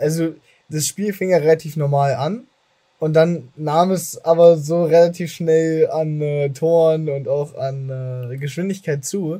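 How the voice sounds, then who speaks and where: This man's voice sits at a fairly high pitch with fairly even intonation. He talks at a very slow pace. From Germany. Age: 20s. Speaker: podcast host. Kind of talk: casual chat.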